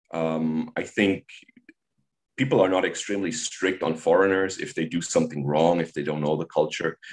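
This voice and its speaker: A man's very deep, low voice at a moderate pace with a German accent. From Germany. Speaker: high school teacher. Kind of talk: interview. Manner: halting.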